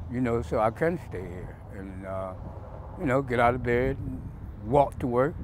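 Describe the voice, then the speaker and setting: A man with an ordinary speaking voice and a medium pitch talks at a moderate pace. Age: 60s. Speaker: local resident and worker. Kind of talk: interview.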